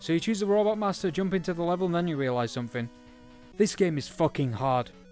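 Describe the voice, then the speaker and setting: Over music in the background, the speech races at a very fast pace with very wide pitch swings. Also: man. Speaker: video game reviewer. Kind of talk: video game review narration.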